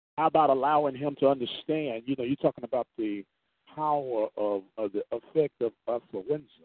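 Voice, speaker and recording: At a fairly quick pace, an unremarkable speaking voice talks with ordinary pitch variation. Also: man, fairly high pitch for a man. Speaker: radio host. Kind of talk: radio dj patter, station-ID and sound-check chatter. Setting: on the road, sound test. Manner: upbeat, chatty, punchy.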